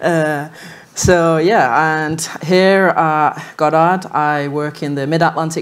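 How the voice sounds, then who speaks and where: A woman with a Manchester accent speaks at a very deep, low pitch, her intonation fairly even. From northern England, Manchester. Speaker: lunar geologist. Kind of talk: panel discussion.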